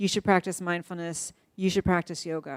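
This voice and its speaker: Over a silent background in a very clean recording, a woman uses a normal speaking voice at medium pitch and moderate pace, with a dry, close sound and no echo. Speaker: neuroscientist giving a talk. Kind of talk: lecture.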